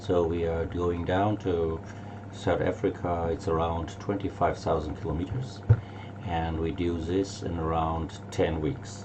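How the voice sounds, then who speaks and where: A man with a German accent and a very deep, low pitch, fairly even intonation, fairly slow pace, audible room echo and noticeable background noise. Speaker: tour operator. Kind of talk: casual presentation. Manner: halting.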